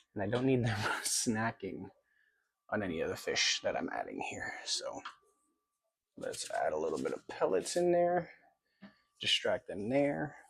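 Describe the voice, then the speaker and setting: Quiet and at a moderate pace, a man talks with long, frequent pauses. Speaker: fish keeping youtuber. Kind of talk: casual vlog tutorial. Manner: quiet, hushed.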